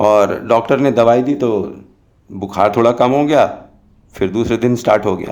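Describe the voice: This is plain reading aloud. The pitch shows ordinary variation.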